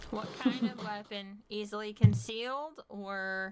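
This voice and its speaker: A woman's put-on character voice, medium in pitch, at a fairly slow pace. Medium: actual play. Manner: terse.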